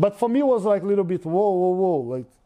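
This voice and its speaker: A man with a Brazilian accent speaks in a high voice, his intonation lively. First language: Portuguese. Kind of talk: interview storytelling. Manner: halting, many fillers.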